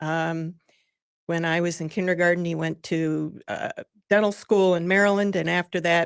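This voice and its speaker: A woman with an Upper Midwest accent speaks at a moderate pace and a fairly low pitch. Her intonation is monotone and flat, on a very clean recording with a silent background. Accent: Upper Midwest American. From Michigan (Lansing area). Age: 70s. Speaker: nonprofit president. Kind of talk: radio interview. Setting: studio.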